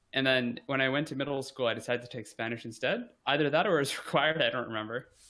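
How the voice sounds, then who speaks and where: A man at medium pitch with ordinary pitch variation and a fairly quick pace. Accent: American. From United States. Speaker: podcast guest. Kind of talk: casual interview chat. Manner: halting, with frequent fillers and restarts.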